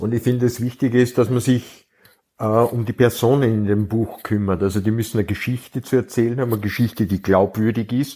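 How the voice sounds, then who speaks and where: A dark, mellow tone and fairly even intonation come at a fairly quick pace on a very clean recording with a silent background. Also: man, medium pitch for a man. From Austria. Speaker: crime novelist. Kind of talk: casual chat.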